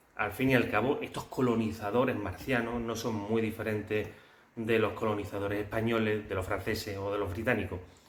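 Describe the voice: At a fairly quick pace, a man speaks in a fairly low pitch with fairly even intonation.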